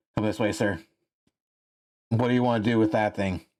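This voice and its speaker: Using a put-on character voice, a man talks fairly quickly in a raspy, fairly low register. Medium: actual play.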